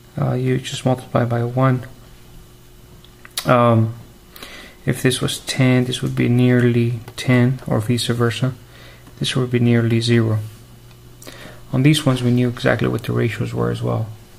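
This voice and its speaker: Speech comes at a moderate pace with long, frequent pauses. Noticeable background noise runs underneath. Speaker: math teacher. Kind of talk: lecture. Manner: soft-spoken.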